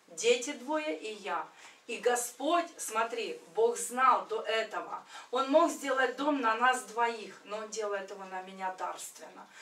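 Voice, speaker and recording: The speech unfolds at a very slow pace with lively intonation and big swings in loudness. Audible room echo hangs around the voice. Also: woman, fairly high pitch for a woman. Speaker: church member. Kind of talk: testimony. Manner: animated. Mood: earnest, emotional storytelling. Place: home room. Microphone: camera far.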